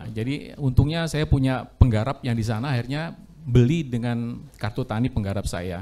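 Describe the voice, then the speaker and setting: Ordinary pitch variation at a fairly quick pace. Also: man. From Central Java (Gombong). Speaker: farming training participant. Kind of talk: self-introduction. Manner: halting.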